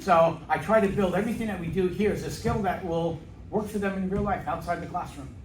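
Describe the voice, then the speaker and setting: Over music in the background and audible room echo, a man with a high pitch talks at a very fast pace with fairly even intonation. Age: 60s. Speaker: middle school math teacher. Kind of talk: interview.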